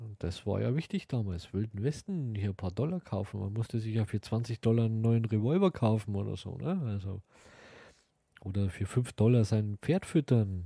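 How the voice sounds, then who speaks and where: On a very clean recording with a silent background, a somewhat breathy voice with a dark, mellow tone speaks at a moderate pace with ordinary pitch variation. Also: man. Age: 40s. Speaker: podcast host. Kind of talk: casual monologue.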